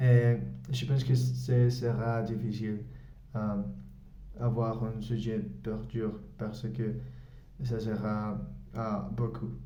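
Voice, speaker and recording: Speaking with a Spanish-speaking accent, a man talks very slowly in a flat monotone at a medium pitch, with long, frequent pauses and audible room echo. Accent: Spanish-speaking learner's French. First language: Spanish (speaking French). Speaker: English teacher and language learner. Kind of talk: language-learning vlog. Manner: halting, many hesitations.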